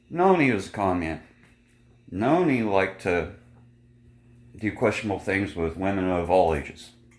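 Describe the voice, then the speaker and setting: A man with a very deep, low voice and ordinary pitch variation leaves long, frequent pauses, and audible room echo surrounds him. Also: moderate pace. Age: 40s. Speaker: vlogger. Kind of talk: casual vlog monologue.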